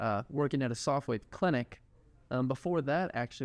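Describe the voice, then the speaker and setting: A man with a slight Texas accent speaks at a medium pitch. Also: dry, close sound with no echo. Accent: slight Texas twang. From Texas (Houston). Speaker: physical therapy student and clinic owner. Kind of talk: podcast interview.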